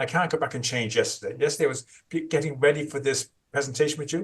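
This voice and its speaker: Somewhat breathy and fairly high pitched, a man speaks at a very fast pace with ordinary pitch variation. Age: 60s. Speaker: trauma therapist. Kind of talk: interview.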